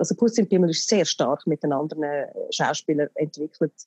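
Very fast and very deep, a woman's low, dark, mellow voice carries ordinary pitch variation in a dry, close sound with no echo. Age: 40s. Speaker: actress and theatre producer. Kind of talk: casual chat. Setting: phone call.

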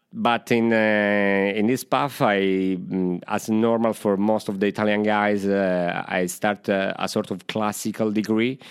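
Against a quiet background, a man with fairly low pitch speaks at a fairly slow pace in monotone, flat intonation with very even loudness. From Sicily, Italy. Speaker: illustrator. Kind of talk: interview. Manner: halting.

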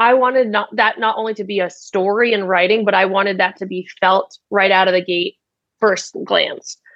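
The woman's pitch is medium and her pace moderate. She speaks with monotone, flat intonation. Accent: American. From United States (Vietnamese American family). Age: 20s. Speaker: startup founder and CEO. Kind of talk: interview.

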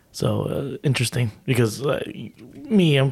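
There is vocal fry in this man's voice. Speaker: podcast co-host. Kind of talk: casual chat.

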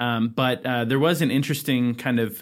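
A normal speaking voice with an American accent and fairly even intonation comes through on a very clean recording with a silent background. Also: man. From California, Sacramento County. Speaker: state legislator and podcast host. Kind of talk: casual political podcast chat.

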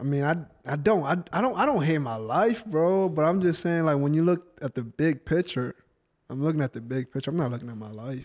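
Talking at a fairly quick pace, a man with an ordinary speaking voice uses a fairly high pitch and lively intonation. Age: 20s. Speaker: guest. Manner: talks over others, defensive, casual.

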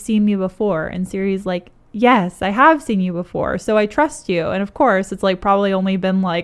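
It's an unforced reading voice with fairly even intonation.

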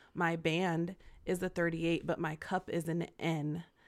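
At a fairly slow pace, a woman with a fairly low pitch speaks on a very clean recording with a silent background. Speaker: podcast co-host. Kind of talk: casual chat. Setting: studio.

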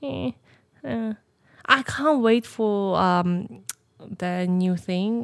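A woman's medium pitch with very wide pitch swings. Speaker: podcast co-host. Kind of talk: casual chat. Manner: laughs often.

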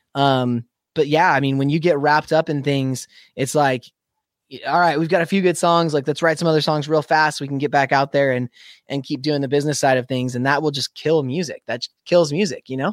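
With an American accent and a normal speaking voice, a man talks at a fairly high pitch and fairly even intonation. The recording is very clean with a silent background, its sound dry and close with no echo. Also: fairly quick pace. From US Pacific Northwest, Spokane, Washington. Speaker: metal band vocalist. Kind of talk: interview.

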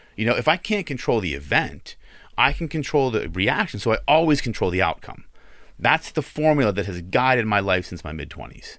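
Recorded very cleanly against a silent background, a man speaks at a fairly quick pace and medium pitch with very wide pitch swings and vocal fry. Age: 40s. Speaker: business owner. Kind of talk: casual chat. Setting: studio.

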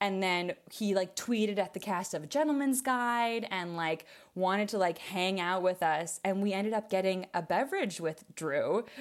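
Woman with a normal speaking voice and an American accent, medium pitch, ordinary pitch variation, moderate pace, hardly any pauses, very clean recording with a silent background. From US Midwest, small-town Wisconsin. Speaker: theater maker and producer. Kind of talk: casual interview chat.

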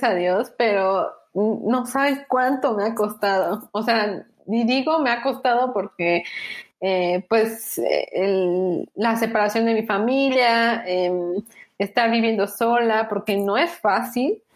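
Lively intonation meets a very slow pace and very even loudness. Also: woman. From Mexico, Tuxtla Gutiérrez, Chiapas. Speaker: graphic designer and digital artist. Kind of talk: casual interview. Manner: hesitant with fillers.

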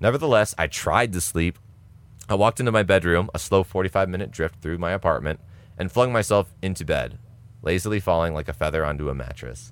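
A man talks at a fairly quick pace with a very deep, low pitch, vocal fry and lively intonation. The recording is very clean, with a silent background. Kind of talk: casual chat; reading aloud. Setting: podcast.

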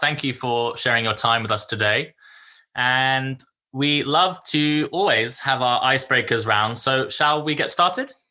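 A man speaks at a medium pitch and moderate pace, with ordinary pitch variation and very even loudness. His tone is bright and sharp, over a quiet background. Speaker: podcast host. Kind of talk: interview, casual chat.

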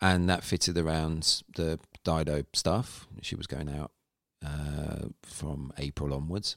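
A man's very deep voice with a British accent, very slow and with ordinary pitch variation, in a dry, close sound with no echo. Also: very clean recording, silent background. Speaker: live sound engineer and app founder. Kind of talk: casual interview chat. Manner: halting, many fillers.

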